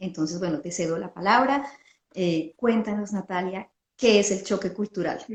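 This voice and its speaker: Hers is an unremarkable speaking voice, pitched in the middle range. The woman's delivery is moderately paced, with ordinary pitch variation. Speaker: podcast host. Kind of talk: interview.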